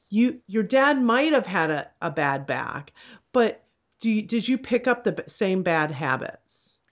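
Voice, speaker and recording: On a very clean recording with a silent background, a woman with a fairly high pitch and vocal fry speaks at a fairly slow pace, her pitch swinging very widely. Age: 50s. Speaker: chiropractor. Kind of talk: casual chat. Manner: animated.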